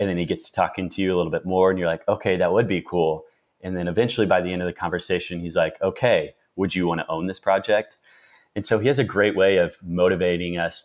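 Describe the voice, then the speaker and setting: This man has a very deep, low pitch and a slight Midwestern accent. His intonation is fairly even, and the background is quiet. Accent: slight rural Midwestern. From rural Indiana. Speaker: marketer. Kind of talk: podcast interview.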